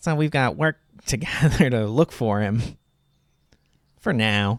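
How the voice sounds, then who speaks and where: A man uses a put-on character voice that is nasal and medium in pitch. His intonation is lively and his pace fairly slow. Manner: annoying.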